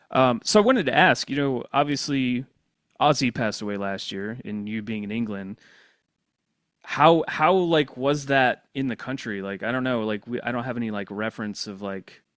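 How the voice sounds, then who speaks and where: On a very clean recording with a silent background, a man with a slight Southern US accent speaks at a moderate pace and medium pitch with ordinary pitch variation. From US South. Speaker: podcast host. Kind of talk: casual podcast interview.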